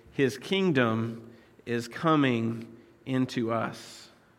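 With an American accent and ordinary pitch variation, a man speaks in a room with audible echo. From United States. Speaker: pastor. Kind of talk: sermon. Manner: halting, many fillers.

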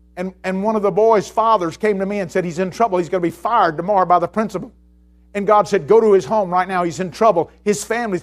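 Talking at a very fast pace, a man with an Alabama accent sounds animated in a high voice. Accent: Southern US (Alabama). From US South, Mobile, Alabama. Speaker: pastor. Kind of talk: sermon. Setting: church.

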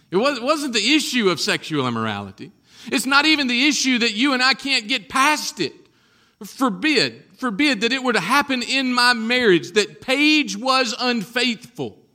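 Raised and projected, a man's extremely high voice carries a bright, sharp tone, moving at a moderate pace with ordinary pitch variation. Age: 40s. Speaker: pastor. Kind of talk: sermon.

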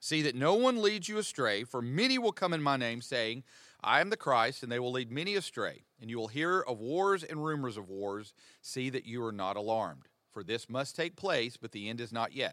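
A man's bright, sharp voice with an American accent, very wide pitch swings and a moderate pace, on a very clean recording with a silent background. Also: medium pitch for a man. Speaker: pastor. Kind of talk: teaching discussion on a podcast. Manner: conversational, joking.

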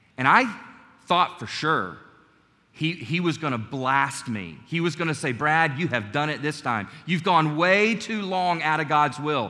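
A man's fairly high, bright, sharp voice with vocal fry and lively intonation, at a fairly slow pace with audible room echo. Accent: American. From US South, North Carolina. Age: 40s. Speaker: preacher. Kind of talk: Sunday church sermon, personal testimony and exhortation, closing in prayer. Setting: church service with congregation. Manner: earnest, conversational preaching with frequent stumbles and repeated words; warm, gentle and calm, sincere rather than fiery.

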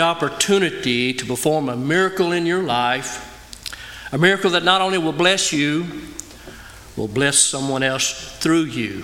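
The pace is moderate, with ordinary pitch variation. Noticeable background noise is present. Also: man. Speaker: missionary preacher. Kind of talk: sermon. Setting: church.

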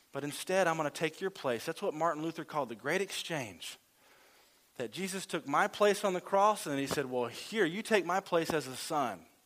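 Here a man with a Southern US accent speaks at a fairly high pitch and a moderate pace, with lively intonation. The recording is very clean, with a silent background. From Louisiana. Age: 30s. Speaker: lay preacher. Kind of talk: sermon.

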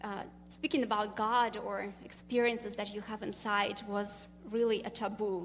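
The voice has vocal fry and a monotone, flat intonation, delivered in a Russian accent. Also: woman. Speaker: business owner. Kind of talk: testimony.

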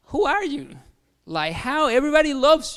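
With a Mexican accent, a man talks at a moderate pace on a very clean recording with a silent background. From Mexico. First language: Spanish. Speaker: pastor. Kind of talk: sermon. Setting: church.

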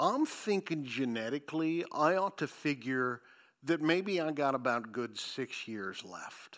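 In a very clean recording with a silent background, a man with a fairly high pitch uses lively intonation in an unremarkable speaking voice. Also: fairly slow pace. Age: 50s. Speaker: pastor. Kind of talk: sermon.

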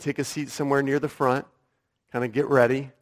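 A man speaks at a medium pitch. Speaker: pastor. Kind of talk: sermon. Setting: church.

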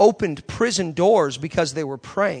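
With an animated tone and lively intonation, a man talks at a moderate pace and a high pitch over a quiet background. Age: 30s. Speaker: guest preacher. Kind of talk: sermon. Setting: church with congregation.

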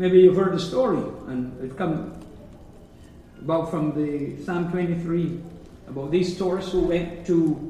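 A man talks at a very slow pace in a high pitch with ordinary pitch variation. Noticeable background noise can be heard. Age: 70s. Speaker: preacher. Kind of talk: sermon. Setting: church.

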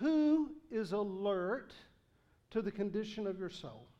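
This man speaks with a strong Southern US accent. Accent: Southern US, thick. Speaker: pastor. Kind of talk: sermon.

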